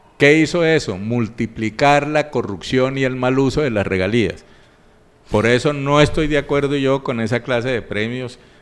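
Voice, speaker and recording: A man speaks in an unremarkable speaking voice at a moderate pace, medium pitch, and ordinary pitch variation. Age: 60s. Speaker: regional public finance expert. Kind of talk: radio interview. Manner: formal.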